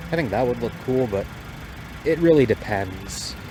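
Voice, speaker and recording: This is a man's voice. Noticeable background noise runs beneath it. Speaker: car enthusiast youtuber. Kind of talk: casual car review walkaround. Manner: rambling, casual with many fillers.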